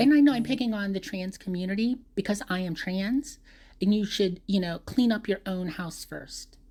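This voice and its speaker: A woman talks at a moderate pace and a medium pitch, her tone dark and mellow and somewhat breathy. The recording is very clean, with a silent background. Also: ordinary pitch variation. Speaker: vlogger. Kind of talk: casual monologue. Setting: voice recording, off camera. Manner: rambling with hesitations.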